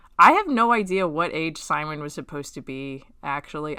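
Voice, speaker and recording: A woman speaks with a bright, sharp tone. Her delivery is animated, with lively intonation. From Texas. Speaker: webcomic artist. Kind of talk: casual read-along commentary.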